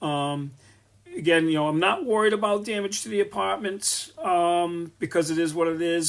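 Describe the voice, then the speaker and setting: This man has a Rhode Island accent and a high pitch. He speaks at a moderate pace with ordinary pitch variation. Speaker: landlord and business owner. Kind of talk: live stream Q&A. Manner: casual, many fillers.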